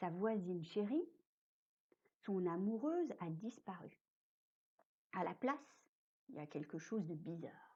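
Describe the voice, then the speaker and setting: Slightly breathy and dark, mellow in tone, a woman's medium-pitched voice moves very slowly through very wide pitch swings. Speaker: storyteller. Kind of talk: read story. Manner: whispered, soft.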